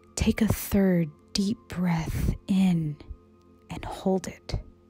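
Over music in the background, a woman speaks at a very slow pace. Her pitch is medium. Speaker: meditation guide. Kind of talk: guided meditation. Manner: calm, slow.

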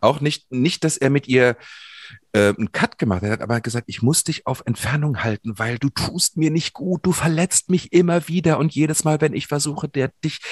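A man with a fairly high, somewhat breathy voice speaks with lively intonation in a dry, close sound with no echo. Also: moderate pace. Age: 50s. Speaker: podcast co-host. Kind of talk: personal conversation on a podcast.

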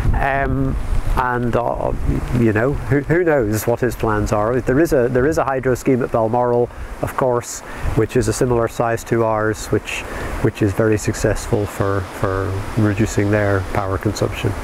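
The voice keeps a moderate pace with ordinary pitch variation. The sound is dry with no echo, and background noise is noticeable. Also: man. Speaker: community hydro scheme director. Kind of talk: interview. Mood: calm, friendly. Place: open country.

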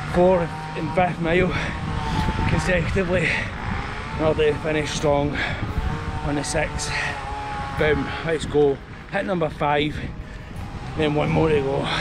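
Loud background noise surrounds the speaker, a man. He talks at a fairly slow pace with long, frequent pauses. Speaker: running vlogger. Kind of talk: casual vlog chat. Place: street. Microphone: phone near.

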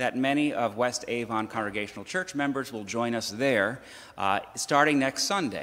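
A man speaks with ordinary pitch variation. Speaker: minister. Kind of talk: church announcements and welcome. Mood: warm, welcoming. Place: church. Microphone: podium.

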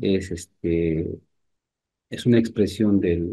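Against a quiet background, a man speaks in a dark, mellow tone with fairly even intonation. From Peru, Amazonas (Luya, near Chachapoyas); Amazonas, Peru. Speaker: painter; interviewee. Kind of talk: interview. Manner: halting, with many repetitions. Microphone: video call.

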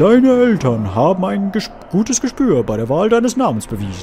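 A put-on character voice at a middle pitch comes through over clear background noise. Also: moderate pace. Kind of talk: solemn put-on voice. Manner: grave, ceremonious.

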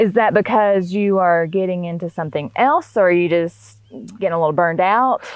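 A woman with a Southern US accent talks at a fairly quick pace, her medium pitch showing ordinary variation. The sound is dry with no echo against a quiet background. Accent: US South. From Northwest Florida. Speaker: podcast host, entrepreneur. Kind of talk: casual interview chat. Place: farm machine. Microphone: lapel.

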